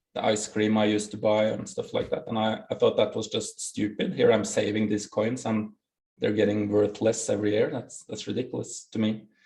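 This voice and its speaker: A man with a Norwegian accent at a fairly quick pace. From Norway. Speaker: bitcoin project founder. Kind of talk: interview. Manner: halting.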